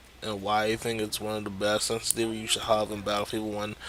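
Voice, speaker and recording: A man talks while clear background noise fills in behind him. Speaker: gaming youtuber. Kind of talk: tutorial. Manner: hesitant, many fillers.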